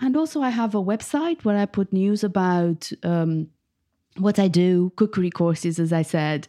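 Over a quiet background, a woman speaks at a moderate pace with a dark, mellow tone. Her pitch swings very widely. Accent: Romanian. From Romania, Bucharest. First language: Romanian. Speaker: food writer and cookbook author. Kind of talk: interview.

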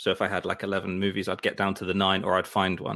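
On a very clean recording with a silent background, a man with a London accent talks at a fairly quick pace. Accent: British English, London. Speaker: podcast host. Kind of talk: casual chat. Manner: halting.

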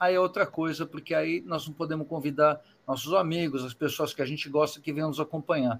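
With an unremarkable speaking voice, a man delivers his words fairly quickly, pitched fairly high, with ordinary pitch variation. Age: 50s. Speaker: rock band singer. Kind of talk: casual interview.

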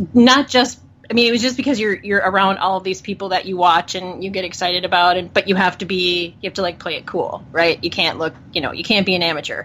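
This is a normal speaking voice at a fairly quick pace, with ordinary pitch variation. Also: woman. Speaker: podcaster. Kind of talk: casual chat about football.

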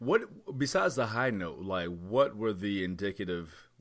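Against a very clean, silent background, a man speaks fairly low with lively intonation. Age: 30s. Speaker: wrestling podcast host. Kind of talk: casual chat. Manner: animated.

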